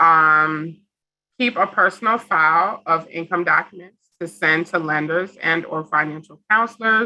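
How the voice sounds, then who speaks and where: This woman's voice is fairly low in pitch, with a bright, sharp tone. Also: ordinary pitch variation, fairly slow pace. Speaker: housing program director. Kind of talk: information session presentation.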